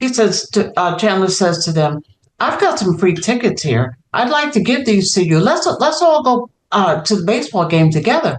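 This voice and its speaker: The speaker has an American accent and very wide pitch swings. Loudness stays very even throughout. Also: woman, medium pitch for a woman, moderate pace. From New York, South Bronx. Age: 60s. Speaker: children's author. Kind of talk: interview.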